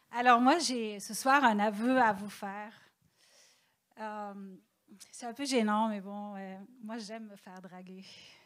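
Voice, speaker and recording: A woman talks at a very slow pace with long, frequent pauses, using a fairly high pitch and fairly even intonation. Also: big swings in loudness. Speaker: stand-up comedian. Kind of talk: stand-up.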